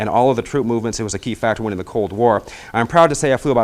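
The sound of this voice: Unforced reading, pitch varying in an ordinary way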